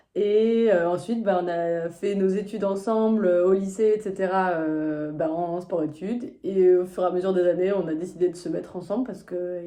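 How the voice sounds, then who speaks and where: Audible room echo surrounds a woman speaking at a moderate pace. Her pitch is medium, with ordinary variation. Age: 20s. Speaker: physiotherapist, reality show applicant. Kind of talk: casual self-presentation video.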